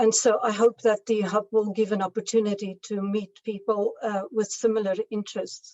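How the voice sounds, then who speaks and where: A woman's fairly high, monotone voice with flat intonation, at a moderate pace with hardly any pauses. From South Africa. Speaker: evaluation specialist. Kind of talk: video conference talk. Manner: hesitant, many fillers.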